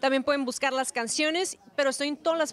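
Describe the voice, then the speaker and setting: A woman talks with a northern Mexican accent. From Tijuana, Mexico; Mexico. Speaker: singer. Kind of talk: interview. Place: hall. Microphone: handheld.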